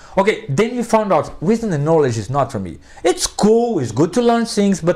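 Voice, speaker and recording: Speaking with a Portuguese accent, a man has an animated tone and a moderate pace. His pitch swings very widely. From Brazil. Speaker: philosophy professor. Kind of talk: interview conversation.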